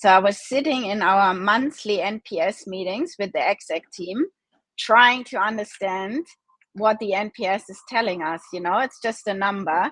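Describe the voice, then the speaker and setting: A woman's medium-pitched voice with a German accent at a moderate pace, in a dry, close sound with no echo. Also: ordinary pitch variation. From Germany. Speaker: e-commerce founder. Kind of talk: interview. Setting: live video stream.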